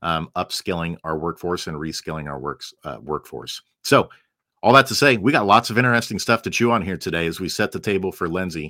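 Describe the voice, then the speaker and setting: A man's very deep, low voice with a bright, sharp tone and lively intonation at a fairly quick pace, dry and close with no echo, on a very clean recording with a silent background. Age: 40s. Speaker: podcast host, former school psychologist. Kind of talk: interview.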